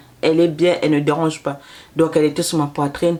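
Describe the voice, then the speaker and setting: A woman with a fairly low pitch speaks at a fairly quick pace against noticeable background noise. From Canada, Congolese-Brazzaville family. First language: Lari (speaking French). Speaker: mother and postpartum services vlogger. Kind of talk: casual storytelling vlog. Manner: repetitive, hesitant.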